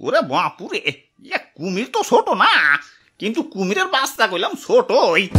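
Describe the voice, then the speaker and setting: A cartoonish character voice over faint music in the background. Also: moderate pace. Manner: fretful, repeating "ore bapure".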